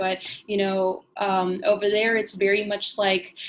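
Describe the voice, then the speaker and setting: A woman in a Spanish accent with monotone, flat intonation, over noticeable background noise. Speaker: former study-abroad student. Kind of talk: interview. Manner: casual, many fillers.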